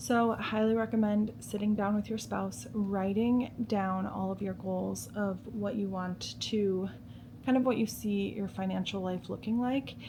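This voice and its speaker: A soft-spoken, somewhat breathy voice with a dark, mellow tone, ordinary pitch variation and a fairly slow pace. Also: woman, medium pitch for a woman. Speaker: lifestyle vlogger. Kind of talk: casual chat. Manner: casual, filler-heavy.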